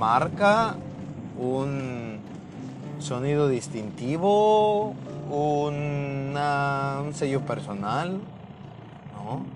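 A man with a Mexican accent and lively intonation, amid audible room echo and noticeable background noise. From Mexico. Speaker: podcast host. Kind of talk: casual monologue.

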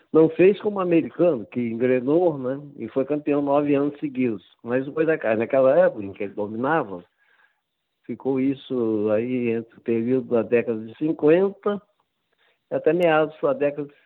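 With a normal speaking voice, a man talks at a moderate pace in a fairly high pitch and lively intonation. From Brazil. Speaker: football writer and author. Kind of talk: interview.

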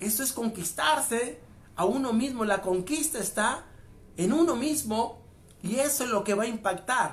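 A man speaks with an extremely high pitch. His pace is moderate and his pitch variation ordinary. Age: 40s. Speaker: motivational speaker. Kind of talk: motivational monologue.

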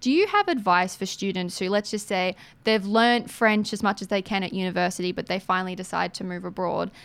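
A woman with an Australian accent, medium pitch, fairly even intonation and a fairly quick pace. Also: very clean recording, silent background. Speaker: radio host. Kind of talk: casual interview.

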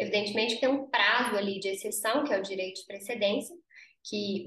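This is a woman speaking. Her pitch varies an ordinary amount. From Brazil, interior of Minas Gerais. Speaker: lawyer and business founder. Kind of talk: interview.

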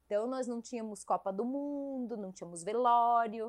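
An ordinary speaking voice from a woman, fairly high in pitch, with ordinary pitch variation at a fairly slow pace. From southern Brazil, Caçador (Santa Catarina). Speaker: police chief. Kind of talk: casual interview.

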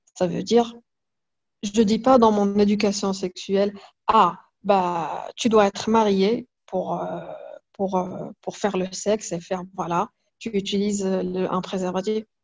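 A woman speaks very slowly at a medium pitch. Her intonation is flat and monotone, broken by long, frequent pauses. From Morocco, Fès. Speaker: comic artist and illustrator. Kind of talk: interview. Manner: halting, many repetitions.

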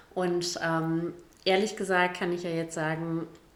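A woman at a fairly low pitch and fairly slow pace, with audible room echo and noticeable background noise. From Gütersloh area, East Westphalia, Germany. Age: 40s. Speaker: state politician. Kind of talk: casual chat.

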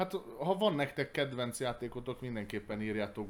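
On a very clean recording with a silent background, a man of medium pitch speaks with lively intonation. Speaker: board game podcast host. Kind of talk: casual chat.

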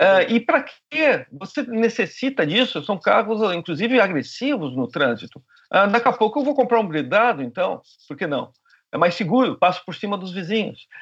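A man with a high pitch talks at a moderate pace, with very wide pitch swings and big swings in loudness. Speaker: glaciology professor. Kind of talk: interview.

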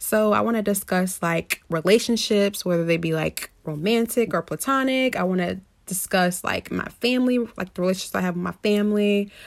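A woman with an American accent and medium pitch speaks at a fairly quick pace, with ordinary pitch variation and hardly any pauses, on a very clean recording with a silent background. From US Midwest, Indianapolis. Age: 20s. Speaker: podcaster. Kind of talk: casual monologue. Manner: animated.

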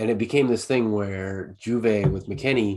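This man has a fairly low pitch and an ordinary speaking voice. He talks at a moderate pace with ordinary pitch variation. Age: 30s. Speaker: soccer podcast co-host. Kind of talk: casual chat.

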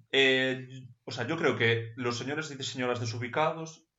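A man speaks at a moderate pace with fairly even intonation. Room echo is audible. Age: 20s. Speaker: podcast co-host. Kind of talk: casual chat. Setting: at home.

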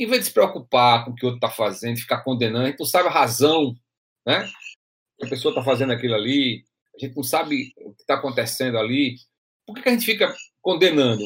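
A man talks very fast at a medium pitch with lively intonation and long, frequent pauses. His loudness swings widely. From Brazil, interior of Rio Grande do Norte (Açu). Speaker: podcast host. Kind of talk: casual discussion podcast. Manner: halting, frequent repetitions.

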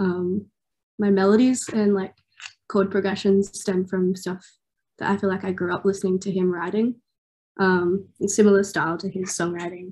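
With an Australian accent, a woman of medium pitch talks at a moderate pace in a monotone, flat way, leaving long, frequent pauses. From Australia, Newcastle NSW. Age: 20s. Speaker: singer-songwriter. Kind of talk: interview. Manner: casual, many fillers.

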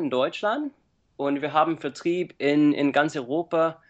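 An English accent with ordinary pitch variation against a quiet background. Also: man. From USA. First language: English (speaking German). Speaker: cookbook author. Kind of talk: interview. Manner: halting, many fillers.

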